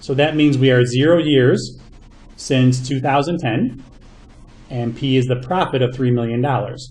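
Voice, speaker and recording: Somewhat breathy speech with fairly even intonation and audible room echo. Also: man. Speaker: math teacher. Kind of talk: lecture. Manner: fast.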